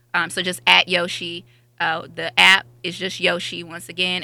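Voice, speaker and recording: This woman speaks at a medium pitch. Her tone is bright and sharp. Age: young. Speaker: company sales representative. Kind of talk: sales pitch.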